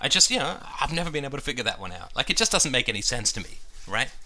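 Very fast speech comes from a man at a medium pitch, in a bright, sharp tone. His pitch swings very widely. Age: 40s. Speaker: podcast host. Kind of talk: casual monologue while cleaning. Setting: bathroom at home.

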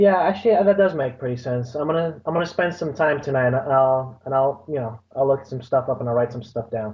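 The speaker is a man with a somewhat breathy voice. He talks at a fairly quick pace. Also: medium pitch for a man, ordinary pitch variation, hardly any pauses. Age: young. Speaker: college student. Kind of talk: casual chat.

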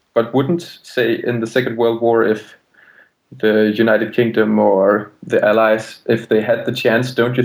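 A man with a medium-pitched voice speaks in a monotone with flat intonation. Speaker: caller.

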